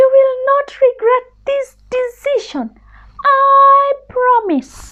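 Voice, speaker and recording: In a put-on character voice, a woman speaks very slowly, squeaky and raised, projecting at an extremely high pitch. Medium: read story.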